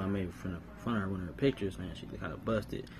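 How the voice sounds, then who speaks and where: Music plays behind a man with a fairly low voice and lively intonation. He talks at a very fast pace, and the room echo is audible. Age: 30s. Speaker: podcast host. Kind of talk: casual monologue.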